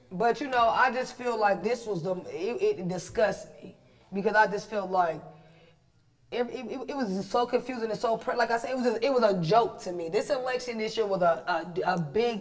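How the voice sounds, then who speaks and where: The tone is animated, at a moderate pace. Background noise is noticeable. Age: 30s. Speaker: podcast co-host. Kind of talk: casual chat.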